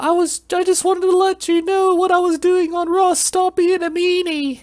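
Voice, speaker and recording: A put-on character voice at an extremely high pitch, delivered in a flat monotone at a moderate pace. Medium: read story. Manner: submissive, whiny.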